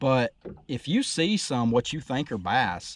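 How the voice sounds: A man's medium-pitched voice with a slightly husky edge, big pitch swings and a fairly slow pace.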